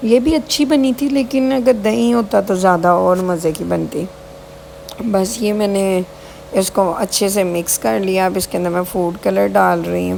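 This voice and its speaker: The pace is fairly slow, with lively intonation. Noticeable background noise is present. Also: woman, medium pitch for a woman. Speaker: vlogger. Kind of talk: casual vlog narration.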